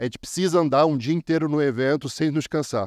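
Speaking at a very fast pace with ordinary pitch variation, a man is heard in a dry, close sound with no echo against a quiet background. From Brazil. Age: 30s. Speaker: copywriter. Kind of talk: conference talk. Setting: stage with audience. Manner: animated.

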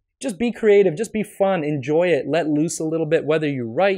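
Lively intonation marks a man's speech, which moves at a moderate pace. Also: quiet background. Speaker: podcast host. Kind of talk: solo podcast advice talk. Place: home room. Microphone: studio mic.

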